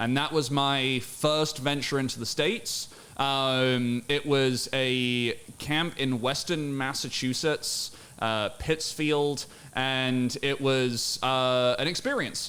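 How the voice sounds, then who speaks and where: Speaking at a very slow pace, a man with a medium pitch and a bright, sharp tone keeps fairly even intonation and very even loudness. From rural England. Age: 40s. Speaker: fitness coach. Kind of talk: podcast interview. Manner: casual, conversational.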